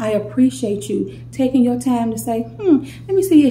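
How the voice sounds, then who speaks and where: There is noticeable background noise as a woman talks. She has an American accent and keeps a moderate pace. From St. Louis, Missouri. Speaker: YouTuber. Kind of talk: casual vlog storytime.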